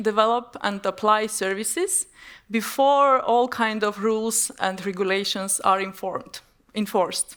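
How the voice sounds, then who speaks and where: A woman with an Estonian accent at a fairly slow pace. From Estonia, Tartu (born in Armenia, moved at seven). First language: Armenian. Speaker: business executive. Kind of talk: conference presentation.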